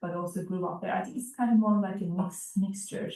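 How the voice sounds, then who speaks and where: A woman's medium-pitched voice in a Turkish accent, with fairly even intonation. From eastern Turkey (Erzurum). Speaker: immigrant interviewee, physician. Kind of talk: oral history interview.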